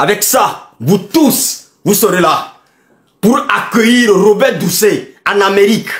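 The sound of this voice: A man's high, fairly bright voice at a fairly slow pace, with lively intonation.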